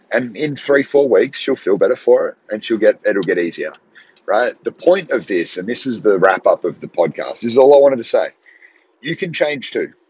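Recorded with a dry, close sound and no echo, a man with an Australian accent speaks at a moderate pace. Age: 30s. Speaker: podcast host, strength coach. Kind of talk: motivational monologue. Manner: casual, conversational.

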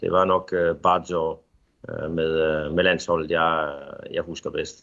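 A man talks at a fairly slow pace. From Denmark. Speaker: football coach. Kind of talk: interview. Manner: halting, many filler sounds.

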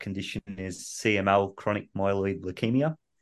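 A man speaks with an Australian accent. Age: 30s. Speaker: patient with rare illness. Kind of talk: interview.

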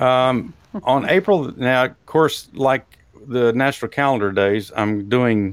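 A man talks with a Texas accent at a medium pitch. His pace is fairly slow, with ordinary pitch variation. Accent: Texas drawl. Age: old. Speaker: talk show host. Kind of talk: casual chat.

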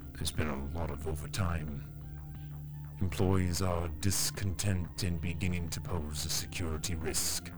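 Over loud music in the background, a man performs a put-on, robotic character voice at a moderate pace. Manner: robotic, emotionless.

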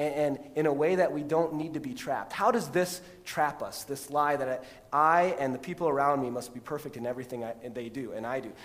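A man's normal speaking voice with an American accent, fairly high in pitch, at a fairly quick pace with ordinary pitch variation. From Texas, then US Midwest from age 12. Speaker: pastor. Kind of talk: sermon. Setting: church. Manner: conversational, many fillers (um, repeated words).

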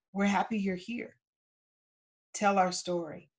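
Her voice carries some breathiness. This woman talks at a medium pitch. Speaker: ancestral healing teacher. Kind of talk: workshop with live Q&A and guided process. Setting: video call workshop.

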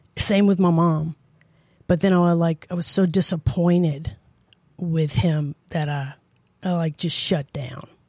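A woman speaks at a fairly slow pace with long, frequent pauses, her fairly low voice dark, mellow and somewhat breathy. Her intonation is fairly even, and the sound is dry and close with no echo. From New Orleans. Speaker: church member. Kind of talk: testimony.

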